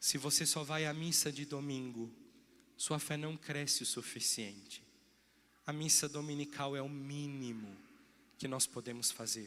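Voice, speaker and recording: A man's bright, sharp voice at a fairly high pitch, fairly slow and fairly even in intonation, with long, frequent pauses and audible room echo. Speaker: parish priest. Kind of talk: sermon. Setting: church.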